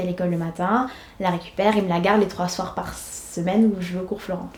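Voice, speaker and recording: With fairly even intonation, a woman talks fairly quickly against noticeable background noise. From Senegal (Dakar). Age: 20s. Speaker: schoolteacher. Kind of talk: documentary interview. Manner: hesitant, many fillers.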